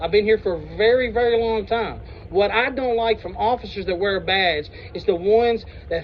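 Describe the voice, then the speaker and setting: The voice is loud, with fairly even intonation at a moderate pace. Noticeable background noise is present. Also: man. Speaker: citizen auditor confronting police. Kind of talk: heated debate. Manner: blunt, argumentative.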